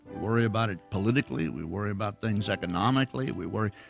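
Someone speaks at a very fast pace with music playing in the background. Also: man. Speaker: pastor. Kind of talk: sermon / church message. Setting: church, recorded sermon.

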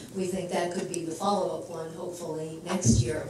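Amid strong room echo and noticeable background noise, a woman talks at a fairly low pitch and moderate pace with fairly even intonation. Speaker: geriatric education center director. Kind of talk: formal introduction. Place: hall.

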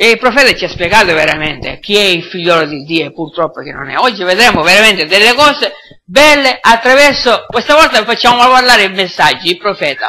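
Speaking at a fairly quick pace, a man uses a raised, projected voice. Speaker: preacher. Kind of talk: sermon. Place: church.

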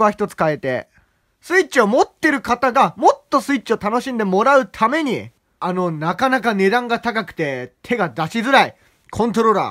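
Over a quiet background, a man with a high pitch talks at a very fast pace, his tone animated, bright and sharp, with very wide pitch swings. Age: young. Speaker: gaming YouTuber; student channel host. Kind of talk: casual vlog talk. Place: home room. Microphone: phone near.

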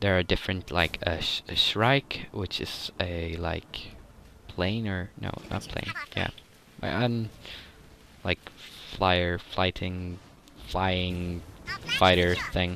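A man with a Swedish accent speaks at a very slow pace with a very deep, low pitch. He leaves long, frequent pauses. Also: ordinary pitch variation. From Sweden. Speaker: gaming YouTuber. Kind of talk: gameplay commentary. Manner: halting.

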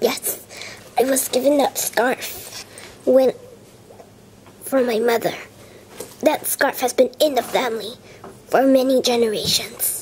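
In a put-on character voice, a woman speaks slowly and high-pitched with a husky, rough edge, a slightly mellow tone, fairly even intonation and long, frequent pauses.

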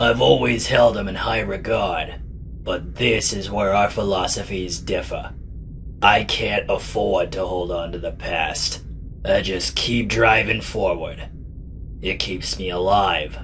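Clear background noise sits behind a man talking at a fairly slow pace. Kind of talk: introspective inner monologue. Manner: cool, cynical, self-assured.

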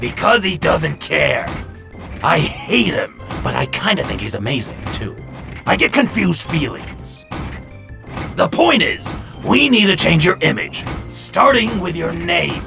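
A man uses a put-on character voice, fairly high in pitch and bright and sharp in tone, with vocal fry and big pitch swings. He goes at a fairly slow pace while faint music plays in the background.

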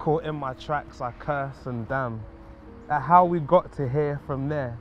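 Over music in the background, a man with a fairly high voice speaks at a fairly slow pace with fairly even intonation. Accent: London. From London. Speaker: poet. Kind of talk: spoken word poetry. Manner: rhythmic.

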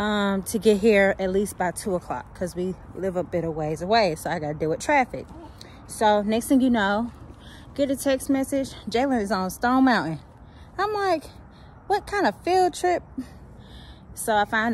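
Over light background noise, a woman talks at a moderate pace with lively intonation and long, frequent pauses, the sound dry with no echo. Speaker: parent vlogger. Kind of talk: casual vlog chat. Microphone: phone near.

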